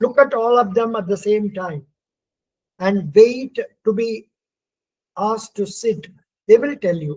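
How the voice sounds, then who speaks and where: This man's voice is high in pitch and comes at a fairly slow pace. Long pauses break up his speech often. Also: ordinary pitch variation. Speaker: interview coach for bank exams. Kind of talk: lecture. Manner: loud; raised voice.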